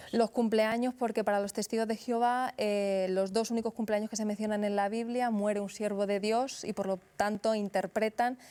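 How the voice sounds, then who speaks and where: The voice has a dark, mellow tone and monotone, flat intonation at a moderate pace with hardly any pauses. The recording is very clean with a silent background. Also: woman. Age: 30s. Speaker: author and former Jehovah's Witness. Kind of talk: interview.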